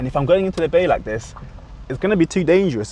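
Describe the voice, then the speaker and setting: Speaking with a British accent, a man shows ordinary pitch variation. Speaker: driving instructor. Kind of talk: tutorial. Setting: in a car.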